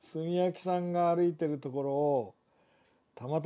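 Against a quiet background, a man with a high, dark and mellow voice speaks with ordinary pitch variation. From Japan. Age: 70s. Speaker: photographer and live stream host; live stream host. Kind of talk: live stream talk to viewers. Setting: live stream. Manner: relaxed, conversational. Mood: relaxed, cheerful, laughing. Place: home room. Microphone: lapel.

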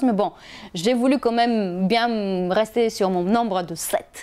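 Over a quiet background, a woman with a non-native accent speaks at a fairly high pitch with ordinary pitch variation. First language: not French (speaking French). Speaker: health and wellness vlogger; wellness vlogger. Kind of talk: casual advice video to camera. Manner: hesitant with fillers. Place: home room. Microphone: lapel.

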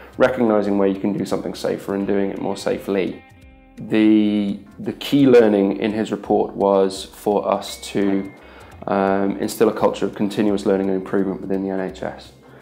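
Over faint music in the background, a man speaks at a fairly low pitch with monotone, flat intonation. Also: moderate pace. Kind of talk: interview answer. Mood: earnest, measured. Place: office.

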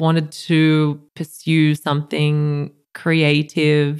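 A woman with an Australian accent, fairly low-pitched, at a very slow pace, in a very clean recording with a silent background. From rural New South Wales, Australia (near Goulburn). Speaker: art curator. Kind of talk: casual interview.

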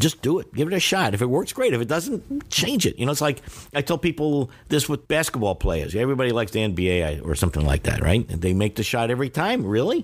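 Rattling along at a very fast pace with hardly any pauses, a man speaks at a medium pitch with very wide pitch swings and vocal fry, on a very clean recording with a silent background. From New York. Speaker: Chinese language teacher. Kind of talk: interview. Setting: hotel room.

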